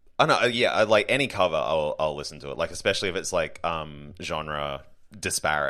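Talking at a fairly quick pace, this man has an Australian accent. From Brisbane, Queensland, Australia. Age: 30s. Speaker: comedian. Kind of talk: casual chat.

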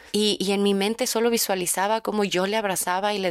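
A woman of medium pitch at a fairly quick pace, monotone and flat in intonation, in a dry, close sound with no echo. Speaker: podcast host. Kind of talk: casual monologue.

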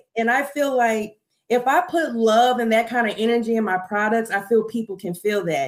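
A woman with an ordinary speaking voice, fairly high in pitch, with ordinary pitch variation and a moderate pace. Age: 20s. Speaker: skincare entrepreneur. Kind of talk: casual chat. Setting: live stream.

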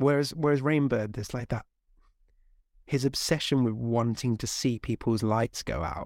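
A man with an unremarkable speaking voice talks at a moderate pace and medium pitch with ordinary variation, in a very clean, dry, close recording with no echo and a silent background. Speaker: podcast host. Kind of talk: interview chat.

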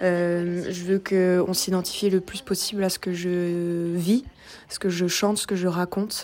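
The delivery is fairly slow. The intonation stays monotone and flat. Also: woman, medium pitch for a woman. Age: 20s. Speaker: singer-songwriter. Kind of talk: casual self-introduction monologue. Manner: hesitant, with filler words.

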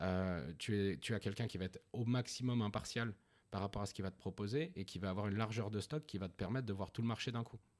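Very fast male speech, fairly low in pitch with ordinary variation, on a very clean recording with a silent background. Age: 30s. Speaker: founder of a new-build property brokerage. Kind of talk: interview.

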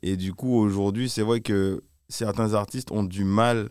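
The recording is very clean with a silent background. A man talks at a fairly slow pace with fairly even intonation. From Martinique. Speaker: music video director. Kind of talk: interview. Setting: live event venue. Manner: halting.

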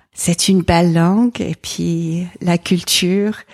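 With an English accent, a woman talks very slowly in a monotone, flat intonation, the sound dry and close with no echo. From England. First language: English (speaking French). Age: 40s. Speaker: environmental association president and pastor's wife. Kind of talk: interview conversation. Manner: hesitant, frequent repetitions.

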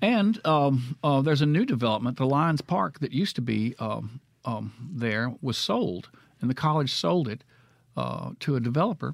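Speaking in a Mississippi accent, a man with a medium-pitched voice keeps a moderate pace and lively intonation. The recording is very clean, with a silent background. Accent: US Southern (Mississippi). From Mississippi (Florence and Clinton). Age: 60s. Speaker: painter. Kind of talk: casual chat. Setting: studio.

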